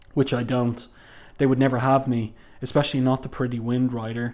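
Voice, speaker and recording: A man speaks with an Irish accent against a quiet background. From Ireland. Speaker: comic book reviewer. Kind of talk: review commentary. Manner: casual, with frequent fillers.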